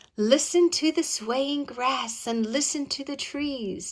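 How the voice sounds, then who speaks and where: Using a put-on character voice, a woman speaks at a high pitch and a fairly slow pace with ordinary pitch variation. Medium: read story. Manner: polite, soothing.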